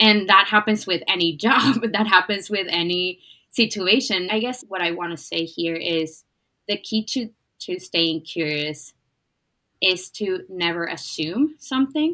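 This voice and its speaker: Speaking with a non-native accent, a woman talks at a fairly slow pace. Her tone is bright and sharp, and her intonation is lively. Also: medium pitch for a woman. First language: not English. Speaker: podcast host. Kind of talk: interview conversation.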